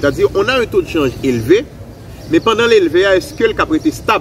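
The speech comes at a very fast pace with very wide pitch swings. Light background noise is present. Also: man. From Haiti. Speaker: economist; economic commentator guest. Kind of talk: expert analysis. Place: garden.

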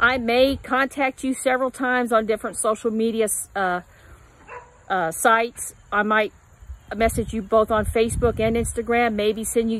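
With long, frequent pauses, a woman speaks at a moderate pace and fairly even intonation, the sound dry with no echo. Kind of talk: casual vlog chat. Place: garden. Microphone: phone near.

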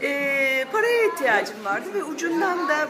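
Over crowd noise in the background, a woman speaks in a raised, projected voice at a fairly slow pace with very wide pitch swings. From Turkey. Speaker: voice actor. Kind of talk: interview answer. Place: cafe.

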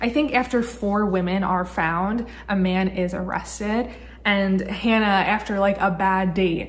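With ordinary pitch variation, the woman's speech proceeds fairly slowly. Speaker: book vlogger. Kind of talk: casual vlog chat. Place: home room. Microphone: phone near.

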